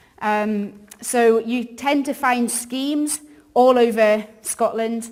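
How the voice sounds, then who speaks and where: Noticeable background noise accompanies a very slow delivery with fairly even intonation. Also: woman, fairly high pitch for a woman. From northern England, York. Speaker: ministry worker. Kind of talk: church talk. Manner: casual, many fillers.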